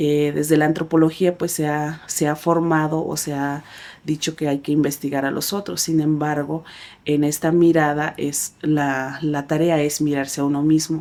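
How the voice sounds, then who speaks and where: With a Chiapas accent, a woman speaks in a very deep, low voice with a dark, mellow tone. Her intonation is monotone and flat, her pace fairly slow, and the recording very clean with a silent background. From Chiapas, Mexico (Tzeltal community). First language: Tzeltal (speaking Spanish). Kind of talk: interview. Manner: hesitant, many fillers.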